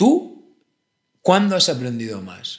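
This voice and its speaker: A man talks at a very slow pace with very wide pitch swings. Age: 30s. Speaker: philosopher. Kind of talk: casual chat.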